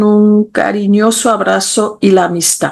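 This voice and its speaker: Speech at a very slow pace comes with a monotone, flat intonation. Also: woman. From Switzerland. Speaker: literature professor. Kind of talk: interview. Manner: halting, with fillers and repetitions.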